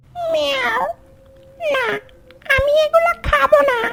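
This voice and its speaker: The cartoonish character voice sits at an extremely high pitch and swings very widely in pitch. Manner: cheeky, plaintive.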